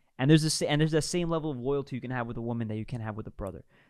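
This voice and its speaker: Over a silent background in a very clean recording, a man with a New York accent speaks at medium pitch with ordinary pitch variation. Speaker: streamer reacting to clips. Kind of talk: reaction commentary. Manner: animated, emphatic.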